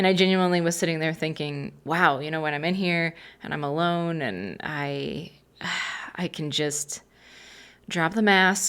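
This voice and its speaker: In a relaxed tone, a woman speaks at a fairly slow pace and a fairly low pitch, with ordinary pitch variation and long, frequent pauses, on a very clean recording with a silent background. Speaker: podcast host; poet. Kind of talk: casual personal storytelling. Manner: relaxed, conversational.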